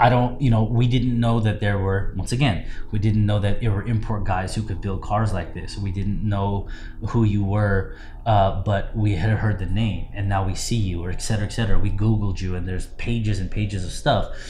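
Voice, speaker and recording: Noticeable background noise accompanies a man speaking at a fairly quick pace with fairly low pitch and fairly even intonation. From Southern California. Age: 30s. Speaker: car builder and show judge. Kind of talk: casual interview. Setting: in person, seated.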